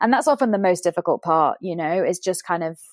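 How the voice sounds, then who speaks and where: This woman has a medium pitch and talks at a fairly quick pace. The very clean recording has a silent background and a dry, close sound with no echo. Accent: British. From UK. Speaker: fashion brand co-founder. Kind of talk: interview conversation.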